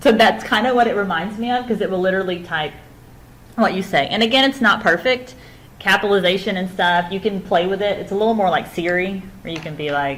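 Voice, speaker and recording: A woman's medium-pitched voice at a very fast pace, with ordinary pitch variation and audible room echo. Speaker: instructor. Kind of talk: lecture.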